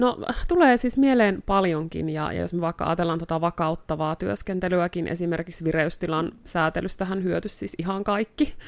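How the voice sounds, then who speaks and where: A woman with an unremarkable speaking voice, a fairly low pitch, ordinary pitch variation and a moderate pace. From North Karelia, Finland (Joensuu). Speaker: therapist. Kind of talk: casual chat.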